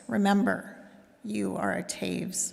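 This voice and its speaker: A put-on character voice from a man, delivered fairly slowly. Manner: serious.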